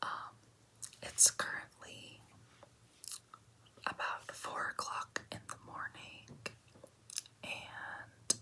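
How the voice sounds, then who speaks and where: The speaker whispers very slowly, with long pauses coming frequently. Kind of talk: ASMR math tutorial whisper. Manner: whispered.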